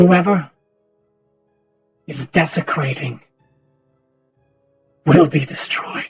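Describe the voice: In a raspy, put-on character voice at a middle pitch, the speaker goes at a very slow pace with long, frequent pauses while music plays in the background.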